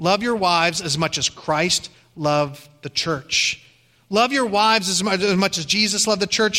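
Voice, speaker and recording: Raised and projected, a man's high-pitched voice comes at a fairly slow pace in an American accent with ordinary pitch variation. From Ohio. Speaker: pastor. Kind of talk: sermon.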